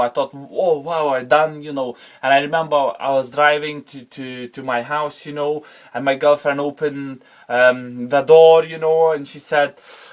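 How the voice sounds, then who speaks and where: A man's fairly high voice in a Lithuanian accent, with fairly even intonation. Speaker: former car wash manager sharing his story. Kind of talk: personal testimony. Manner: halting, many fillers and repetitions.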